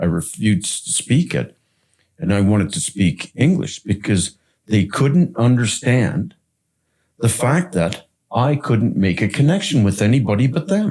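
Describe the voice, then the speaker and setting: A man with a medium-pitched, dark and mellow voice that is somewhat breathy speaks at a fairly slow pace, his pitch swinging very widely while his loudness stays very even, on a very clean recording with a silent background. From Canada, Toronto. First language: French. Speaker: podcast host. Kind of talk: casual chat.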